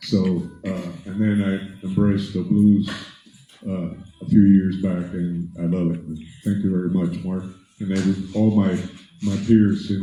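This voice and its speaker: Audible room echo surrounds a man with a dark, mellow tone and fairly low pitch who speaks at a moderate pace with fairly even intonation. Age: 70s. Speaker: blues musician. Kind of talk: acceptance speech. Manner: halting.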